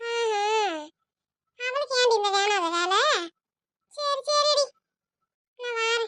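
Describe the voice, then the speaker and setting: Using a cartoonish character voice, a woman squeaks at an extremely high pitch, very slowly and with ordinary pitch variation. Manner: casual, calls others di.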